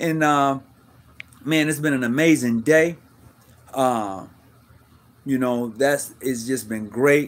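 Fairly slowly and with fairly level intonation, a man talks. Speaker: live stream show host. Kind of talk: casual livestream talk to viewers. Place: home room. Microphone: phone near.

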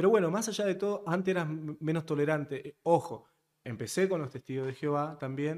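A man at a fairly quick pace with a fairly high pitch and ordinary pitch variation, over a quiet background. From Argentina. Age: 30s. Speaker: podcast guest. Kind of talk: casual interview conversation. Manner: direct. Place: studio. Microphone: studio mic.

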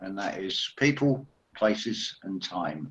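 With lively intonation, a man is talking. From Essex, England; England. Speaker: spiritual commentator. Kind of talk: casual chat; group discussion on a call. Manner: halting. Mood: reflective, spiritual topics. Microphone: video call.

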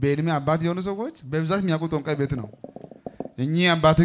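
Ordinary pitch variation comes through over light background noise. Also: man. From Ethiopia. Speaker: pastor. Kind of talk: church service testimony session. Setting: church with congregation. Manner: animated. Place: tent. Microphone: handheld.

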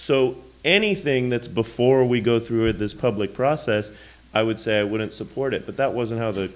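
A man has an unremarkable speaking voice with fairly even intonation. He keeps a moderate pace. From Davis, California; California. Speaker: city council candidate; council candidate. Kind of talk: candidate forum debate. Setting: church hall with live audience. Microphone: podium.

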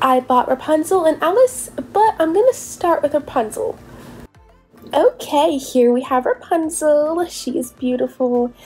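A woman's high voice at a fairly slow pace, swinging very widely in pitch over music in the background. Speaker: doll unboxing youtuber. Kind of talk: casual unboxing voice-over. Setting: recorded voice-over. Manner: animated.

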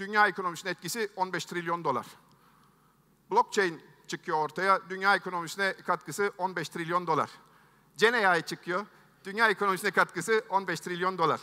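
Against a quiet background, a man projects a raised, high-pitched voice with a bright, sharp tone and fairly even intonation. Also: moderate pace. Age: 50s. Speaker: tech entrepreneur, keynote speaker; keynote speaker. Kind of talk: keynote speech. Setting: stage with audience. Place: stage. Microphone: headset.

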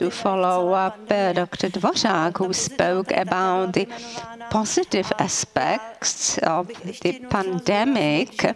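A woman's very slow delivery, with very even loudness, ordinary pitch variation and noticeable background noise. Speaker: conference speaker. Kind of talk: formal speech. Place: hall. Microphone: podium.

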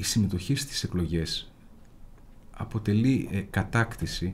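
Dark, mellow tone with lively intonation at a fairly slow pace. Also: man. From Greece, Central Macedonia (Imathia); Central Macedonia, Greece. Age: 40s. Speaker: lawyer and local election candidate; lawyer, election candidate. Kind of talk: interview. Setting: studio. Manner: formal. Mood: earnest political argument. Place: studio. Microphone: studio mic.

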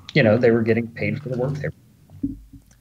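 A man talks in a somewhat breathy voice. The rise and fall of his speech is fairly even. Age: early 40s. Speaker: movie prop firearms supplier. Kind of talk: casual interview chat.

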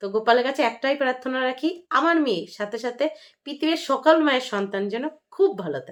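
The recording is very clean with a silent background as a woman speaks at a high pitch with very wide pitch swings. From West Bengal, North 24 Parganas village. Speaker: vlogger and housewife. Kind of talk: vlog monologue.

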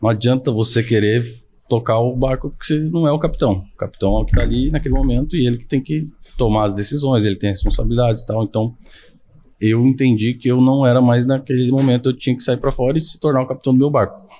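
This voice has a dark, mellow tone and fairly even intonation. The words come out at a very fast pace. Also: man. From São Paulo, Brazil. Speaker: IT consultant; podcast guest. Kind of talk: casual interview chat. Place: studio. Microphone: studio mic.

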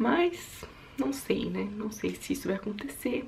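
A woman speaks with vocal fry. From Brazil, São Paulo state (Suzano); São Paulo state, Brazil. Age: 20s. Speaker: YouTuber and au pair; YouTuber. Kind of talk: casual vlog monologue. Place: home room. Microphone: phone near.

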